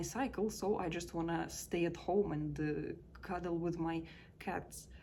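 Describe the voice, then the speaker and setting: A woman in a Russian accent, fairly slow pace, audible room echo. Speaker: life coach. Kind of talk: personal reflection vlog. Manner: casual, with hesitations.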